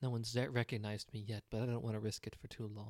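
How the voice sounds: The recording carries a natural reading voice.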